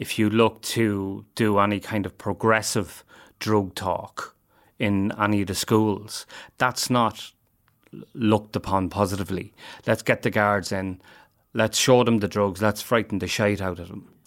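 In an Irish Midlands accent, a man speaks at a fairly low pitch. His pace is fairly slow and his intonation fairly even. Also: very clean recording, silent background. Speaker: addiction services worker. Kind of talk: interview.

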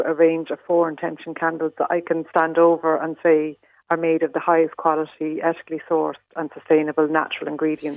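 A woman with an Irish accent, fairly low pitch and a fairly quick pace. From Ireland, Leitrim. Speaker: candle maker. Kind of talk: radio interview.

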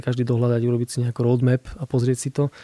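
A man speaks with an eastern Slovak accent at medium pitch. His tone is dark and mellow, and the sound is dry and close with no echo. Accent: eastern Slovak (Košice). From Slovakia, Košice. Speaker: architect. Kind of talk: casual interview. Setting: radio studio.

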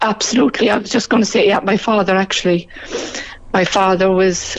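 Noticeable background noise sits behind a woman's voice. She speaks at a fairly quick pace with very even loudness. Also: medium pitch for a woman. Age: 60s. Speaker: guest sharing personal story. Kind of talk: testimony. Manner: halting.

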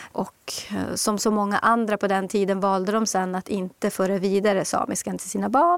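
A woman speaks at a medium pitch with fairly even intonation. Noticeable background noise runs underneath. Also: moderate pace. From Swedish Lapland, Kiruna. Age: 50s. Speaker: author. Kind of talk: interview.

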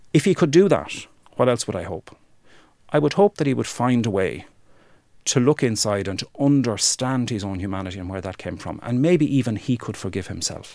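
A man with an Irish accent, medium pitch, very wide pitch swings, big swings in loudness, a dark, mellow tone and a moderate pace, on a very clean recording with a silent background. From Ireland, rural County Wexford. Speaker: human rights campaigner. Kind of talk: interview testimony.

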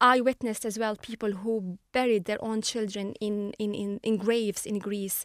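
With an Arabic accent, a woman talks at a fairly high pitch in a monotone, flat intonation. She leaves hardly any pauses, and the sound is dry and close with no echo. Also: moderate pace. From Syria, Latakia. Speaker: journalist. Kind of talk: interview.

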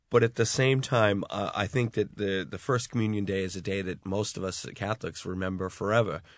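With a Boston accent, a man speaks fairly quickly at a fairly low pitch and with fairly even intonation against a quiet background. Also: hardly any pauses. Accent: Boston American. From US, Boston area. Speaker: law lecturer and political columnist. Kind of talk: panel discussion on radio. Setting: radio studio.

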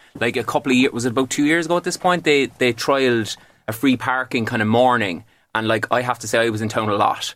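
Recorded very cleanly against a silent background, a man with a Cork accent speaks very fast at a medium pitch, with ordinary pitch variation. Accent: Cork Irish. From Ireland, Cork city. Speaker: comedian. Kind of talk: radio panel discussion. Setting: live broadcast from a Cork workspace.

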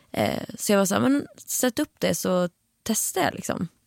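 A woman's normal speaking voice at a moderate pace, with ordinary pitch variation, a dry, close sound with no echo and a very clean recording over a silent background. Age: 20s. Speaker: singer-songwriter podcast co-host. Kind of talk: casual chat.

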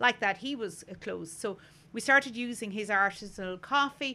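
Her voice has a bright, sharp tone, and this woman uses ordinary pitch variation. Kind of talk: casual chat. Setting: outdoors at treehouse.

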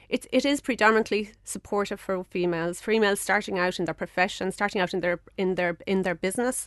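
Against a quiet background, a woman talks very fast at a medium pitch with ordinary variation, the sound dry and close with no echo. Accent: Cork. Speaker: business network president, engineer in medical devices. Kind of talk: interview. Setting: studio.

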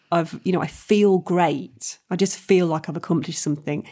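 The recording is very clean, with a silent background. A woman of medium pitch talks at a moderate pace in an unremarkable speaking voice. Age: 40s. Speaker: comedian and actress. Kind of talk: casual chat.

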